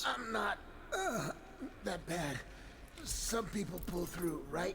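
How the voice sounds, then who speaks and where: A put-on character voice moves at a very slow pace against loud background noise. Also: man, high pitch for a man. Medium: game stream.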